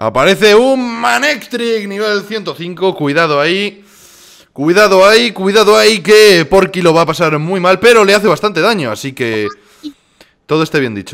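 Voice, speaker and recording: Lively intonation marks the high-pitched voice of this man. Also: moderate pace. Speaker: gaming youtuber. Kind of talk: live gameplay commentary. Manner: animated, exclamatory.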